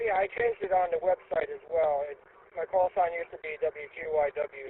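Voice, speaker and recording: A man talks at a moderate tempo, his intonation fairly even throughout. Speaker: radio net participant. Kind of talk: radio net check-in chat. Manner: halting.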